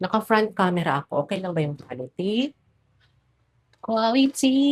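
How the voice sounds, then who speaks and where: A woman speaks at medium pitch with very wide pitch swings. Her voice is somewhat breathy, and the sound is dry and close with no echo. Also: moderate pace. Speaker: vlogger. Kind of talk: casual vlog talk to camera.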